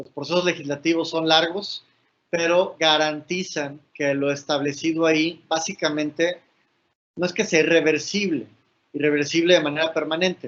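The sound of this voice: The man has a fairly high pitch and a fairly bright tone, keeping his intonation fairly even. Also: moderate pace.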